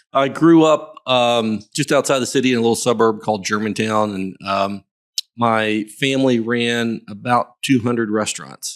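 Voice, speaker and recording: A man with a slight Southern US accent and ordinary pitch variation. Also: medium pitch for a man, moderate pace. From US South, Memphis, Tennessee. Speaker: real estate broker. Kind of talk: casual chat.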